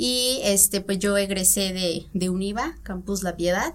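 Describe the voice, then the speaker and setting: The woman has a plain, everyday voice, pitched at a medium level with ordinary variation. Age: 20s. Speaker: nutritionist. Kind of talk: interview. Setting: studio.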